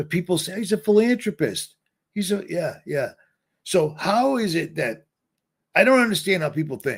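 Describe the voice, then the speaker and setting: This man talks with an American accent and a high pitch. His intonation is lively and his pace moderate. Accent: Boston accent, trying to suppress it. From Boston, Massachusetts. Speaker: livestreamer. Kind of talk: livestream monologue. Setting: livestream. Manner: rambling, self-interrupting.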